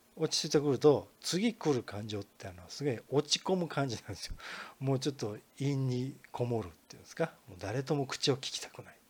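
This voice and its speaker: Lively intonation and big swings in loudness mark this man's somewhat breathy, medium-pitched voice as he talks at a fairly quick pace. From Kansai region, Japan. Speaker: podcast host, marketing consultant. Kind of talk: solo podcast lecture. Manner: casual, many filler words.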